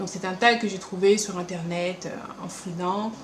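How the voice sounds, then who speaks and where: Background noise is noticeable. The room echo is audible too. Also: woman. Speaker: beauty and lifestyle vlogger. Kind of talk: casual vlog Q&A. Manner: animated.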